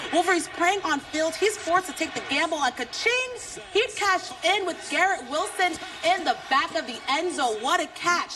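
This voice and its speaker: Over noticeable background noise, a woman projects a raised voice at an extremely high pitch and a moderate pace. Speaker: sports anchor and reporter. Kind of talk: studio sports anchor read.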